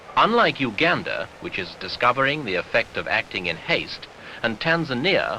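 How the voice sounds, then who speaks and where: A man's voice with very wide pitch swings at a moderate pace, over noticeable background noise. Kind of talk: newsreel narration.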